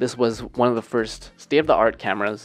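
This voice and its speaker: A man's voice with vocal fry. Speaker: video creator. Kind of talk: casual vlog chat. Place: home room. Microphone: handheld.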